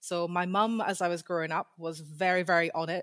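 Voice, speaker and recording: A woman with a Scottish accent speaks in a fairly low pitch with fairly even intonation, the sound dry and close with no echo. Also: very clean recording, silent background. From Scotland. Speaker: PhD researcher in history. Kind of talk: interview.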